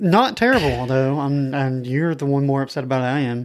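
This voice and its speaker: This man has an ordinary speaking voice, medium in pitch, moving at a moderate pace with fairly even intonation. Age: 20s. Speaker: comic book podcast co-host. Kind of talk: casual chat.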